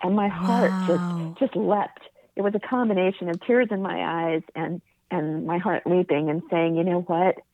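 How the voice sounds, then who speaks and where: Speaking at a moderate pace with an American accent, a woman has a plain, everyday voice with a fairly low pitch and ordinary pitch variation. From New York, Rockland County, then California from age 12. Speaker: publicist and charity founder. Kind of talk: interview.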